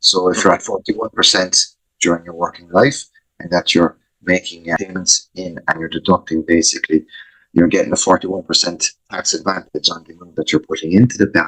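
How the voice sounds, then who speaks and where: A man with an Irish accent speaks at a fairly quick pace, with big swings in loudness. The sound is dry and close, with no echo. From Ireland. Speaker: financial planner. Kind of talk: interview. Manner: hesitant, many fillers.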